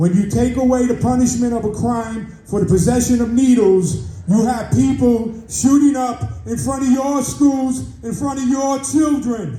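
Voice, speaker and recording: An extremely high-pitched man with an American accent, at a fairly slow pace with hardly any pauses, ordinary pitch variation, audible room echo and noticeable background noise. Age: 70s. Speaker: community member. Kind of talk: public comment at community meeting. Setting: community board meeting. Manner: animated.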